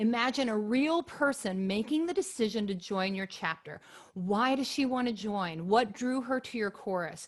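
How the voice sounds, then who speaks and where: With a normal speaking voice, a woman talks at a moderate pace, her fairly high pitch carried by lively intonation. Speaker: chorus director and webinar presenter. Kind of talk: webinar presentation. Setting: video call webinar with screen share.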